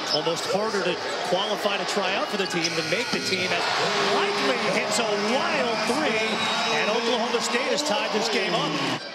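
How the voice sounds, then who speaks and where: A man talks at a moderate pace with ordinary pitch variation. Loud background noise fills the recording. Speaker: play-by-play announcer. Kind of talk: sports commentary. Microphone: headset.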